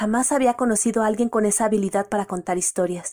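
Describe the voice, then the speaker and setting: A woman with a Mexican accent. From Mexico City. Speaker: listener reading her own story. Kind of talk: reading aloud.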